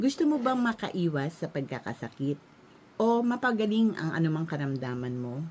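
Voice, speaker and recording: At a moderate pace, this voice makes very wide pitch swings. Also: woman. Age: 60s. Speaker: health product promoter. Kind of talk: sales pitch.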